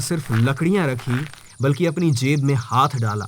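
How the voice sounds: A man at a medium pitch, fairly slow in pace, with ordinary pitch variation.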